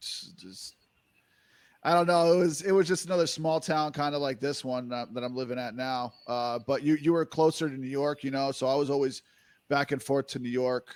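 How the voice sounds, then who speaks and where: Fairly high in pitch, a man speaks at a fairly quick pace with a strong New Jersey accent and ordinary pitch variation. The recording is very clean with a silent background. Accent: heavy New Jersey. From New Jersey, US. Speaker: music producer. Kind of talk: casual interview chat. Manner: halting, filler-heavy.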